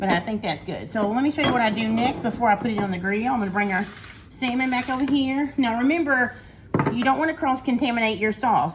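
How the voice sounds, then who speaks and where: A woman's fairly high voice with ordinary pitch variation, fairly quick pace, and noticeable background noise. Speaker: cooking YouTuber. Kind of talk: cooking tutorial. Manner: fast.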